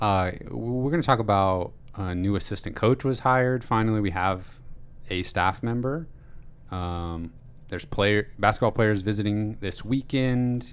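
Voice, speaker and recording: Speaking at a moderate pace, a man with a normal speaking voice and fairly low pitch shows ordinary pitch variation. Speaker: podcast host. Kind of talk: casual chat. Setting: studio.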